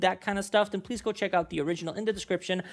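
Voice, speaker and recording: A man with a non-native accent speaks in a high-pitched voice. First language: not English. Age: 20s. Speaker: YouTube reaction creator. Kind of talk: casual vlog intro. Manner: rambling, many fillers.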